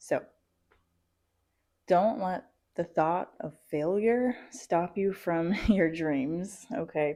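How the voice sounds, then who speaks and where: Soft-spoken and very slow, a woman with a dark, mellow tone talks with long, frequent pauses and ordinary pitch variation. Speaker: vlogger and aspiring entrepreneur. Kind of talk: motivational vlog talk. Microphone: new mic, first recording.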